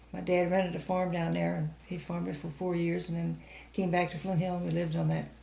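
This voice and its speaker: With an American accent, a woman speaks at a very fast pace amid audible room echo. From US Midwest, St. Charles County, Missouri. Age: 80s+. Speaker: oral history interviewee. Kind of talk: oral history interview.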